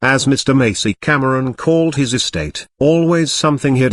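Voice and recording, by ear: The background stays quiet as the speaker reads aloud in a natural voice.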